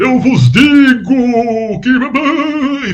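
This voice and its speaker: A put-on character voice, guttural and fairly high in pitch. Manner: grim, dramatic.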